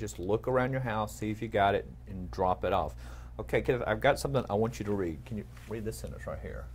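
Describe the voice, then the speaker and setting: Talking at a very fast pace, a man with a slight Texas accent uses a fairly low pitch, very wide pitch swings and vocal fry. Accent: slight Texas twang. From East Texas. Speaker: news anchor. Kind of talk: casual news chat.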